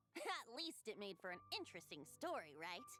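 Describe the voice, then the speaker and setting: Speaking at a moderate pace in a put-on character voice, a female-sounding voice sits at a medium pitch over clearly audible background noise. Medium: video game. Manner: light, teasing.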